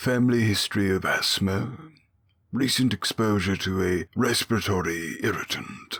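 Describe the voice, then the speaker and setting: Using a put-on character voice, a man speaks at a moderate pace with fairly low pitch, ordinary pitch variation and very even loudness. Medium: read story. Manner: blunt, businesslike.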